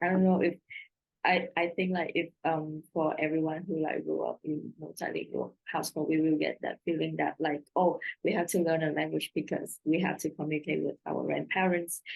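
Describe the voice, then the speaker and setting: A woman with a Vietnamese accent speaks at a moderate pace. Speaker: translator. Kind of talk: panel Q&A answer. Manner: halting.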